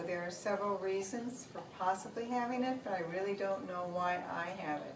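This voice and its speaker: Woman's medium-pitched voice with ordinary pitch variation, audible room echo and noticeable background noise. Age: 60s. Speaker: Parkinson's patient sharing her story. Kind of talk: personal testimony.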